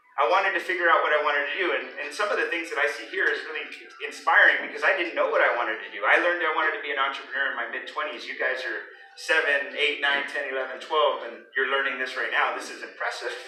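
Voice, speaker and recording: Speech races along at a very fast pace with noticeable background noise and audible room echo. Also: man. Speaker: business owner, guest speaker. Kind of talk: motivational talk to children. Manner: loud; interactive, questioning audience.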